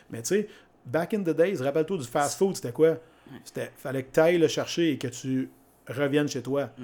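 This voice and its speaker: A man's fairly high, dark and mellow voice at a moderate pace, with ordinary pitch variation and long, frequent pauses. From Quebec, Mauricie (Grand-Mère). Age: 40s. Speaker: fitness coach and entrepreneur. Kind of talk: casual interview conversation.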